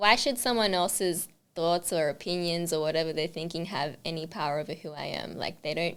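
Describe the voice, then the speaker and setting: A woman's fairly low voice at a fairly quick pace, with ordinary pitch variation. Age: 20s. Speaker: makeup artist. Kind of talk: interview. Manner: fast.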